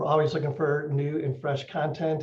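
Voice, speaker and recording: This man talks at a fairly quick pace with an American accent. His voice is fairly high and somewhat breathy. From Chicago. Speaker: podcast host presenting at conference. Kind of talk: conference presentation. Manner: fast.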